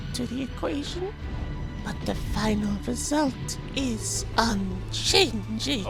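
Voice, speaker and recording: A put-on character voice moves at a very slow pace over loud background noise. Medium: machinima. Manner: calm, emotionless, clinical.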